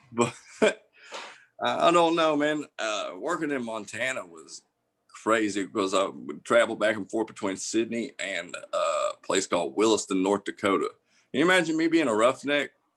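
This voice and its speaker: A man with a Southern US accent and very wide pitch swings. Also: medium pitch for a man, moderate pace. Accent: Southern US accent, noticeable. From US South. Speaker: comedian. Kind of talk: casual chat.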